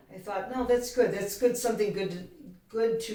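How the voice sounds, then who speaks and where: A woman speaks at a fairly high pitch. Room echo can be heard. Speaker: co-host of a self-help video show. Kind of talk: casual chat. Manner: quiet.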